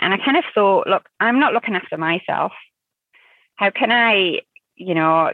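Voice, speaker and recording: A woman speaks with a northern English accent. Her pitch is medium, with ordinary variation. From northern England. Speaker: working mother and amateur rugby player. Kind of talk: interview, casual chat.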